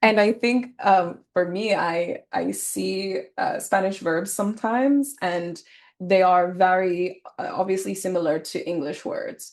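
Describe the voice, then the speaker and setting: A woman's unremarkable speaking voice at medium pitch, fairly slow in pace, with ordinary pitch variation over a quiet background. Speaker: podcast host. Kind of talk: casual chat.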